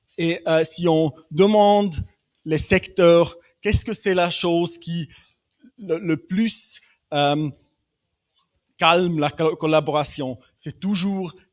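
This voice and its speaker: A man with a non-native accent and a high pitch, very slow pace, long and frequent pauses, big swings in loudness, and fairly even intonation. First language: not French (speaking French). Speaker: development bank specialist. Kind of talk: panel discussion. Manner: halting, many hesitations.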